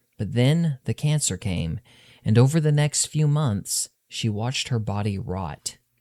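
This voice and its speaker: A man talks at a fairly slow pace with lively intonation and a medium pitch. His tone is dark and mellow, and the recording is very clean with a silent background. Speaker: author reading his own novel. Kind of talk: audiobook narration of urban fantasy fiction.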